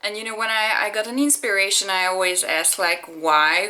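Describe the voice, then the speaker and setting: The speaker is a woman. She talks in a Hungarian accent. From Hungary. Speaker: singer-songwriter. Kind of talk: personal commentary. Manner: halting.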